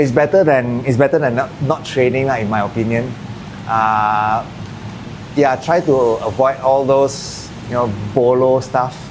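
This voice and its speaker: A man with a Malaysian accent, medium in pitch with ordinary pitch variation, at a fairly slow pace with long, frequent pauses, amid noticeable background noise. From Malaysia, Kedah. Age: 40s. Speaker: martial arts gym owner. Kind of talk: casual podcast interview.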